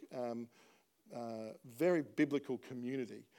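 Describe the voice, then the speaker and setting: A man with a dark, mellow tone speaks in an Australian accent. The recording is very clean, with a silent background. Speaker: pastor. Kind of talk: sermon. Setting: church.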